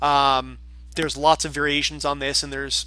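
A man speaks with music playing in the background. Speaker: university lecturer. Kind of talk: lecture. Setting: classroom recording.

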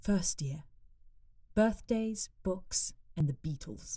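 Against a quiet background, a woman talks at a fairly slow pace in a dark, mellow, somewhat breathy tone with ordinary pitch variation. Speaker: voice-over artist and actor. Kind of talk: audiobook narration of a fan story. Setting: home studio. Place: studio.

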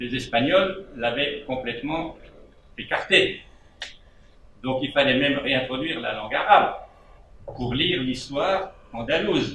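Over light background noise and audible room echo, a man with a fairly high pitch speaks at a moderate pace with ordinary pitch variation and long, frequent pauses. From Switzerland. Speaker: debate participant. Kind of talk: panel discussion remarks. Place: hall. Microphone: handheld.

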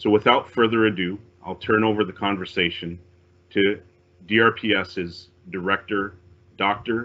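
With monotone, flat intonation, a man talks in a fairly low voice. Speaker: police officer. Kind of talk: formal opening remarks. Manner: formal. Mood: calm, formal, respectful. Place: home room. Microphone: video call.

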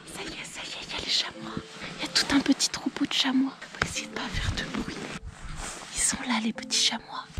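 Whispering from a woman at a fairly quick pace, broken by long, frequent pauses, with big swings in loudness. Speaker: travel and nature vlogger; outdoor photography vlogger. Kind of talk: vlog narration outdoors. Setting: outdoors in the mountains.

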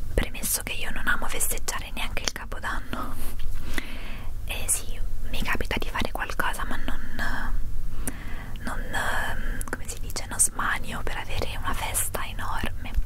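A woman at a moderate pace with long, frequent pauses over loud background noise. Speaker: vlogger. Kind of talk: ASMR whispered vlog, tag video answering questions. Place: home room. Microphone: handheld.

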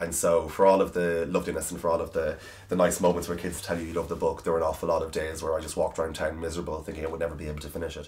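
Speaking very fast with an Irish accent, a man barely pauses at all. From Ireland, County Cavan. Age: 20s. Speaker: author. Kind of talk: interview answer. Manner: casual, chatty. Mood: warm, self-deprecating, animated. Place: home room.

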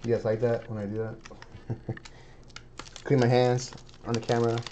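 The pace is moderate. There is noticeable background noise throughout. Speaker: card breaker opening packs on stream. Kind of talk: live card pack opening.

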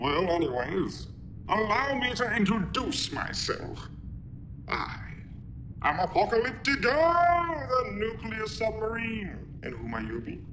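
A man puts on a high-pitched character voice at a fairly slow pace. Loud background noise runs underneath. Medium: short film.

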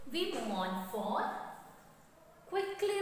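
A woman speaks at a fairly slow pace. Strong room echo surrounds her voice. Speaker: school teacher. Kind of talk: lecture. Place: classroom.

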